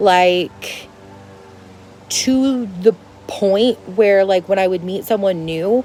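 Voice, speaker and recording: Noticeable background noise accompanies the woman as she talks. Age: 20s. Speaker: lifestyle vlogger. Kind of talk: casual advice monologue. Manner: loud.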